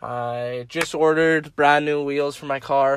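In a very clean recording with a silent background, a man of medium pitch speaks with fairly even intonation. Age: young. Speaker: college student and car enthusiast. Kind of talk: casual chat. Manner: halting.

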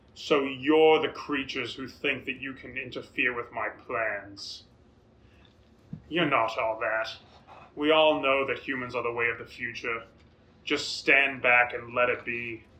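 A man performs a put-on character voice, loud and booming, at a medium pitch. He keeps a moderate pace broken by long, frequent pauses. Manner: calm and commanding.

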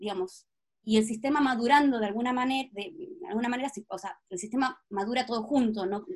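Her intonation is lively and her pitch high as the woman talks at a moderate pace. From Patagonia, Argentina. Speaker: astrologer and project leader. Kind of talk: interview conversation.

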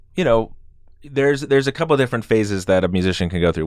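This is a very clean recording with a silent background. It carries a plain, everyday voice with ordinary pitch variation. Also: man. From Idaho, US. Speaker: music festival co-founder and musician. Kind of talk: podcast interview.

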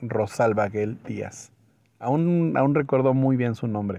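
The speaker has a Mexican accent. The pace is very slow. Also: man. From Mexico. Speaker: podcaster. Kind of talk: personal anecdote storytelling.

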